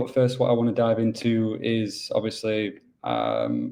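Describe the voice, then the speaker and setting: Speaking with a Yorkshire accent, a man talks at a fairly slow pace in a dark, mellow tone with monotone, flat intonation. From England, Yorkshire. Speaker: business development manager at a mining pool. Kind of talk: webinar presentation. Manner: casual, filler-heavy.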